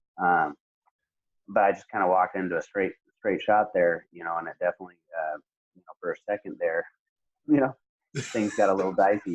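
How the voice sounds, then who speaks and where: A man talks at a fairly quick pace, broken by long, frequent pauses. His loudness swings widely. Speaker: MMA fighter. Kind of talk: casual interview. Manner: soft-spoken; halting, many fillers.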